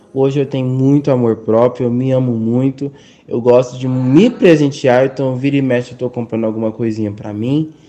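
A man speaks at a moderate pace in a medium pitch, his tone dark and mellow and his intonation fairly even. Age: 20s. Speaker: university student. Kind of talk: interview testimony.

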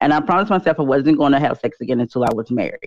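A woman's very deep, low voice with an American accent over a quiet background. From North Carolina. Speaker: YouTuber and author. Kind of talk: casual interview.

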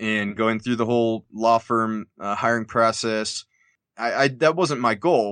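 A normal speaking voice at a fairly slow pace, with ordinary pitch variation and a dry, close sound with no echo. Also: man, medium pitch for a man, quiet background. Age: 30s. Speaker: lawyer. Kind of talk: interview.

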